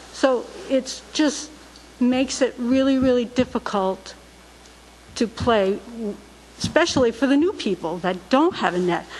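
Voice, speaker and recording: The speech has lively intonation at a fairly slow pace, with long, frequent pauses. Noticeable background noise is present. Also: woman, high pitch for a woman. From Rhode Island, Barrington. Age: 60s. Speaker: resident speaking at public comment. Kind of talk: public comment at town council meeting. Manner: halting.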